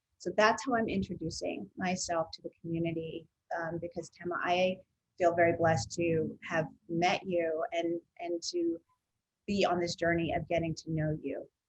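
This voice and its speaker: A woman's fairly low, somewhat breathy voice with fairly even intonation at a moderate pace. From United States. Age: 50s. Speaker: consultant on racial equity. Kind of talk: webinar conversation.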